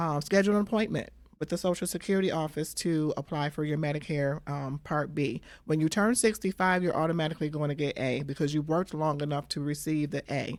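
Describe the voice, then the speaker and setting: On a very clean recording with a silent background, a woman with an American accent speaks at a very fast pace, her very deep, low pitch showing ordinary variation. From Michigan. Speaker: Medicare insurance broker. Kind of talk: interview, explaining.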